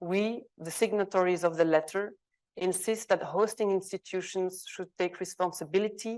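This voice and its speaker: Over a quiet background, a woman with a Flemish Belgian accent speaks at a moderate pace in a medium pitch with monotone, flat intonation. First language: Dutch. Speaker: arts organisation specialist, conference panelist. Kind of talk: reading aloud a co-signed open letter at a conference panel. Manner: hesitant, with fillers and self-corrections.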